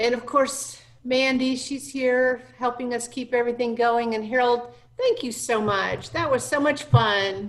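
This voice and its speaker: High-pitched woman at a fairly slow pace, fairly even intonation and noticeable background noise. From Arkansas. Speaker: minister. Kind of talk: casual chat. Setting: video call.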